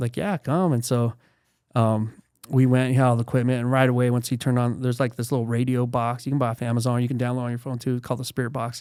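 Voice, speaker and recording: In a very clean recording with a silent background, a man talks at a very fast pace in a medium pitch. His tone is dark and mellow, and his intonation is monotone and flat. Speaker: real estate investor. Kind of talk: casual chat.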